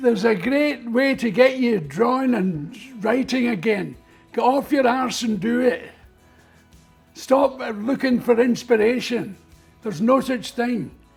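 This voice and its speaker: With music in the background, a man with a Scottish accent speaks at a fairly slow pace in an extremely high pitch, with ordinary pitch variation. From Scotland. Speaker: comedian and artist. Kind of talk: interview answer.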